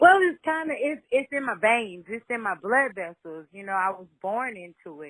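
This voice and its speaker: A woman with an American accent speaks at a moderate pace in a fairly high pitch, making very wide pitch swings and big swings in loudness. The recording is very clean with a silent background, and the sound is dry and close with no echo. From Louisiana, Shreveport. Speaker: singer-songwriter. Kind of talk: interview.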